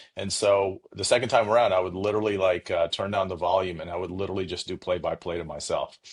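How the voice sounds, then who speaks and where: A man speaks at a very fast pace with hardly any pauses. His voice is fairly low in pitch and somewhat breathy. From India, Punjab; moved to US at ten. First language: Punjabi or Hindi (not English). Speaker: cybersecurity executive. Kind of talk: interview.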